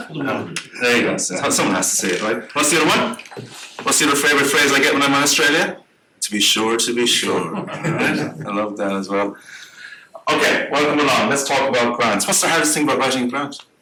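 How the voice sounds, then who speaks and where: A man with an Irish accent, very fast, fairly high-pitched, and lively in intonation, amid audible room echo and noticeable background noise. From Ireland. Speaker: grants consultant and workshop presenter. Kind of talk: workshop presentation. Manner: animated.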